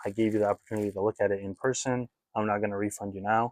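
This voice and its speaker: A man's fairly low voice at a very fast pace, fairly even in intonation, with a dry, close sound and no echo. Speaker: trading card reseller. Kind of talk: casual collection walkthrough video. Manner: casual, hesitant with fillers.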